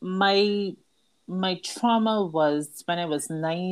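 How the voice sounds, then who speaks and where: The recording is very clean with a silent background, carrying a woman's fairly low voice and its ordinary pitch variation. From Barbados. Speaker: author and trauma survivor. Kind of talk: interview testimony.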